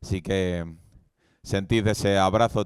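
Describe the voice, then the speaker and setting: The recording is very clean with a silent background, carrying a man's fairly low-pitched voice. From Spain, Valladolid (Castile). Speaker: preacher. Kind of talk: sermon. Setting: church event with live audience.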